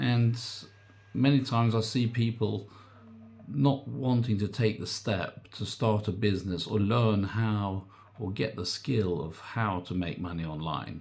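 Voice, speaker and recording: Fairly low in pitch, this man keeps an ordinary pitch variation. His voice is somewhat breathy and his pace fairly slow. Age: 60s. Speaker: online business coach. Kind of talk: casual vlog talk. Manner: hesitant, filler-heavy.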